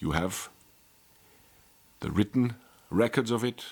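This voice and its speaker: The speaker talks at a fairly slow pace. The voice carries a non-native accent. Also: man. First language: not English. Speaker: life coach. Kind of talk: monologue video lecture. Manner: animated.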